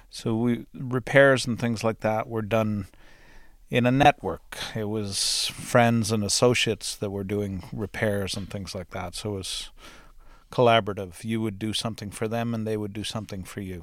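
On a very clean recording with a silent background, a man talks in a plain, everyday voice with fairly low pitch. His intonation is fairly even, and his pace is moderate. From Canada, northwestern Ontario farm. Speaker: farmer, host's husband. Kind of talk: casual interview. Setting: home recording studio.

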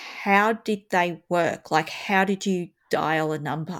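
A woman with an Australian accent speaks at a medium pitch and a very slow pace in a very clean recording with a silent background. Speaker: podcast host and schoolteacher. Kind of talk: casual chat.

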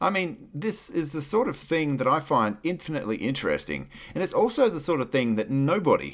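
With an Australian accent, a man talks at a fairly quick pace with hardly any pauses. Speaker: podcaster and radio DJ. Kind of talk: casual interview chat.

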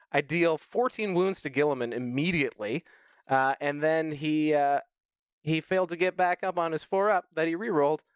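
An ordinary speaking voice comes at a moderate pace with ordinary pitch variation, in a dry, close recording with no echo and a very clean, silent background. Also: man, fairly high pitch for a man. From Canada. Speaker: competitive tabletop wargamer. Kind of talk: casual chat.

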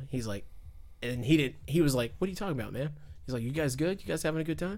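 An American accent with ordinary pitch variation, in a room with audible echo. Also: man. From US South, Fayetteville, North Carolina. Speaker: podcast guest, car enthusiast. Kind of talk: casual chat. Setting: party in the background.

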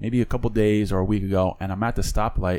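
In an ordinary speaking voice, the speaker moves at a fairly quick pace with ordinary pitch variation. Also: man. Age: 30s. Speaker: podcast host. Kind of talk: casual chat. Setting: studio.

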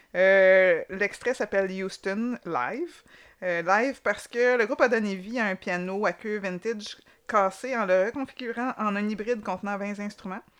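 A woman with a Quebec accent speaks at a fairly slow pace against a quiet background. Her pitch is medium with ordinary variation. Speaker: podcast co-host. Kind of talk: casual chat.

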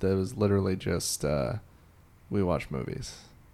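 An ordinary speaking voice with an American accent. The pace is moderate. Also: man. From Illinois. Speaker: TV research director and comedian. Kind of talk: casual chat about movies.

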